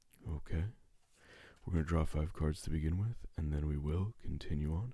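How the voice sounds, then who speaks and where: The tone is dark, mellow and somewhat breathy. The pace is moderate. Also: man. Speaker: tarot reader. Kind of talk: tarot card reading.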